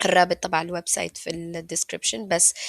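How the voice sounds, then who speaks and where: A woman speaks with a Levantine accent and vocal fry. Her intonation is fairly even, and the sound is dry and close with no echo. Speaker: YouTuber. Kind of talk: casual screen-share tutorial. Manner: casual, code-switching with English.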